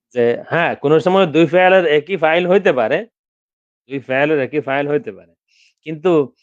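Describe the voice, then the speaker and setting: A man speaks in an ordinary speaking voice at a fairly high pitch, with ordinary pitch variation and big swings in loudness over a quiet background. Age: 50s. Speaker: Arabic grammar teacher. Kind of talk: lecture.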